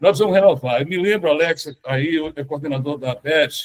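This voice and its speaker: Pitched high, a man talks with ordinary variation in his intonation. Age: 70s. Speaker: economist and party veteran. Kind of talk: panel discussion. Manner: halting.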